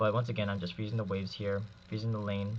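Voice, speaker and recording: A man talks with a fairly low pitch. His voice is somewhat breathy. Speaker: gaming commentator. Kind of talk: gameplay commentary.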